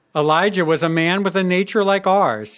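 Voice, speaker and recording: In a very clean recording with a silent background, a man with a high pitch speaks at a fairly slow pace. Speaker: scripture reader at church. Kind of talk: reading aloud.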